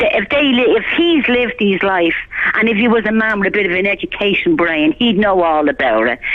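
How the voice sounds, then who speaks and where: Speaking in a Dublin accent at a moderate pace, a woman keeps a medium pitch with very wide pitch swings and very even loudness. Noticeable background noise sits behind her. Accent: Irish (Dublin). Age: 60s. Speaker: caller. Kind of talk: heated rant on a phone-in. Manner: animated.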